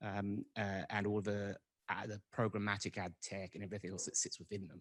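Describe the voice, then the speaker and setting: Recorded with a dry, close sound and no echo, a man speaks at a moderate pace in a fairly low pitch. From England. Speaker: tech business founder. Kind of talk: panel introduction.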